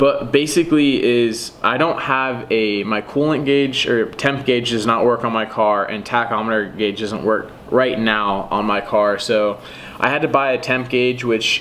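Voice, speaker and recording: A man speaks at a fairly slow pace with ordinary pitch variation. Light background noise is audible. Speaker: car hobbyist vlogger. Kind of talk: casual vlog chat. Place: home room. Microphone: camera far.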